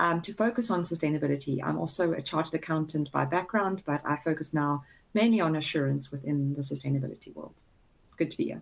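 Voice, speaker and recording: The speaker has a South African accent and talks at a very fast pace. The pitch varies in an ordinary way. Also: woman, very deep, low pitch for a woman. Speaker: chartered accountant. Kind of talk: webinar introduction.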